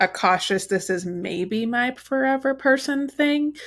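This woman has an unremarkable speaking voice with lively intonation and a fairly slow pace. The recording is very clean, with a silent background. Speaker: podcast host. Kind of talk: casual chat. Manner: chatty, fills with 'like'.

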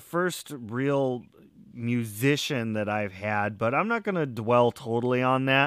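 Recorded very cleanly against a silent background, a man talks at a very slow pace. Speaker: podcast host. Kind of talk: casual interview.

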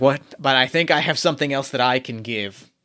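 Using a put-on character voice, a man talks at a fairly quick pace and a medium pitch. The voice is gravelly. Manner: grumbling, gruff, a bit regretful.

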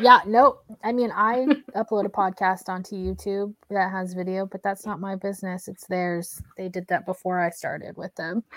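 A woman with an American accent uses a normal speaking voice at medium pitch and a moderate pace, with hardly any pauses and fairly even intonation. The sound is dry and close, with no echo. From Oklahoma. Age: 30s. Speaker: podcast host. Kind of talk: casual chat.

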